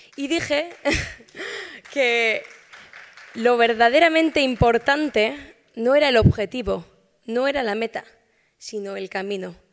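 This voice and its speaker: Crowd noise fills the background while the speech comes with long, frequent pauses and big swings in loudness. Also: woman, high pitch for a woman, ordinary pitch variation, fairly slow pace. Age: 20s. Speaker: medical researcher. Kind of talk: award acceptance speech. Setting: stage with audience.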